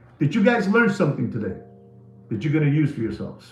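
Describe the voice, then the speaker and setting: Someone with a New York accent talks with very wide pitch swings, with audible room echo and noticeable background noise. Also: man. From New York City (the Bronx), Puerto Rican family. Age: 60s. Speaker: watch market commentator. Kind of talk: live stream monologue. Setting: live stream. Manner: animated.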